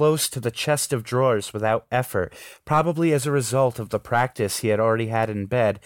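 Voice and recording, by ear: Reading aloud in a natural voice, with pitch varying in an ordinary way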